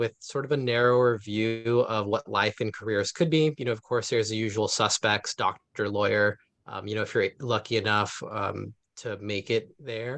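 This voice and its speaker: A man with an unremarkable speaking voice talks at a moderate pace and medium pitch with fairly even intonation in an American accent, the sound dry and close with no echo and a quiet background. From US West Coast, East Palo Alto, California. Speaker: urban forestry manager and arborist. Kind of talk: panel talk. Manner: casual, many fillers.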